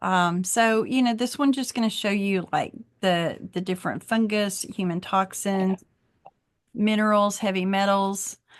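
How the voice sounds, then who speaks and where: Against a quiet background, a woman with an unremarkable speaking voice talks at a medium pitch and moderate pace with ordinary pitch variation. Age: 60s. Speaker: wellness practitioner. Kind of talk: online class demonstration. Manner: casual.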